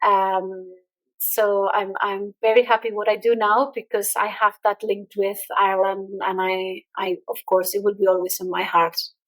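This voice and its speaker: A woman's medium-pitched voice with a slight Irish accent, flat and monotone in delivery. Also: moderate pace. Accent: slight Irish-tinged English. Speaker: entrepreneur and LinkedIn expert. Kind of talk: podcast interview.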